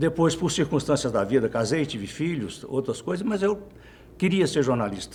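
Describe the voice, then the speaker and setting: With very wide pitch swings, a man speaks at a moderate pace in a somewhat breathy voice. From Minas Gerais interior, Brazil. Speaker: journalist. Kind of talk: interview. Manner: halting.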